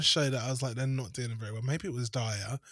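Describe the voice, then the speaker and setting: A man is speaking. He has a British accent. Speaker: podcast co-host. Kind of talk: casual chat.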